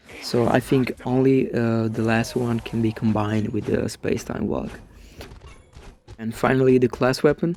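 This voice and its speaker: A man with an Italian accent, medium pitch, ordinary pitch variation and a moderate pace, over noticeable background noise. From Italy. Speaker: gaming YouTuber. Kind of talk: commentary on game. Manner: halting, many fillers.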